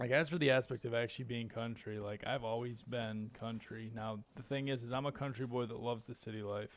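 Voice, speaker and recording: Fairly even intonation from a male speaker at medium pitch. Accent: American. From rural northern Michigan, US. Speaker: gamer streamer. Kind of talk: casual gameplay chat.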